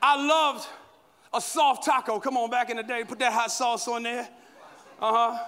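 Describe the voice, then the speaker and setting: A man's raised, projected voice at an extremely high pitch, animated in tone, at a moderate pace with long, frequent pauses. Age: 40s. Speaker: guest pastor. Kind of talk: sermon. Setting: stage with audience.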